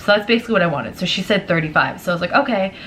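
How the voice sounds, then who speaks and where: A woman with a fairly low pitch is heard over noticeable background noise. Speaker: vlogger. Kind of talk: storytime vlog. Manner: fast; casual, filler-heavy.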